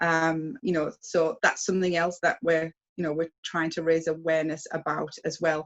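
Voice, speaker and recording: A woman with a British accent talks at a moderate pace. Her pitch is fairly low and her intonation fairly even. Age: 60s. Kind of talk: interview. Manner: hesitant, many fillers.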